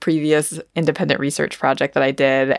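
On a very clean recording with a silent background, a woman with an American accent speaks at a moderate pace with a very deep, low pitch, vocal fry, and ordinary pitch variation. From US Northeast, rural Vermont. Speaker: food studies scholar. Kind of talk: interview.

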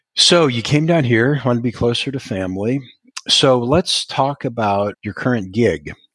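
With an American accent and an ordinary speaking voice, a man speaks at medium pitch and a moderate pace, his pitch varying in an ordinary way, in a dry, close sound with no echo. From US Midwest, Iowa. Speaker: podcast host. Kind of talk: interview.

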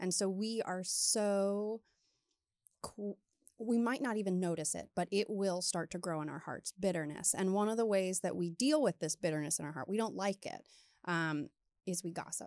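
A woman with an American accent and a plain, everyday voice speaks at medium pitch and a moderate pace with ordinary pitch variation, in a very clean, dry, close recording with no echo and a silent background. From Maryland, US. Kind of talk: casual chat.

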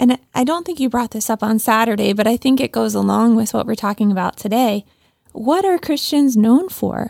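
A woman's fairly high voice at a moderate pace, dry and close with no echo. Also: lively intonation. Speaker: podcast co-host. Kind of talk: casual chat. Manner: clear diction.

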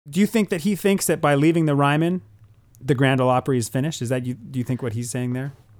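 The speech runs at a very fast pace. Its pitch varies in an ordinary way. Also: man, fairly high pitch for a man. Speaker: podcast co-host. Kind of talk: casual discussion podcast.

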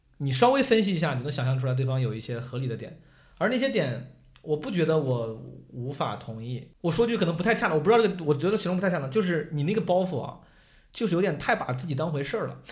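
This man talks at a very fast pace with a fairly high pitch. His pitch swings very widely. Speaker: stand-up comedian and debate show contestant. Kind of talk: casual chat. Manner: animated, joking.

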